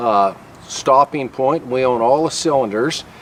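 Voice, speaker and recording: There is noticeable background noise behind this man. His pitch is medium, with ordinary variation. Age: 60s. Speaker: welding shop owner. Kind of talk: informal sales pitch. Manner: casual, hesitant with fillers.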